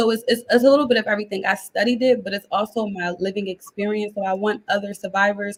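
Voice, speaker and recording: With an American accent, a woman talks at a very fast pace in a fairly even intonation. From US Northeast, Philadelphia. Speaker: life coach. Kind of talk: interview. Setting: live video call.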